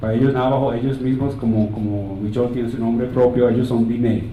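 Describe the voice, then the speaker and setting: A man's medium-pitched voice with a non-native accent, very fast pace and fairly even intonation, plus audible room echo and noticeable background noise. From United States, Colombian family. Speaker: physician and conference speaker. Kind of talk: conference talk. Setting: stage with audience, slides. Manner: halting, with repeated words.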